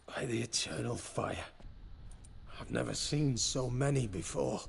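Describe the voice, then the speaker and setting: A man's raspy, put-on character voice at a moderate pace, with clear background noise. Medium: video game. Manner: grave, measured.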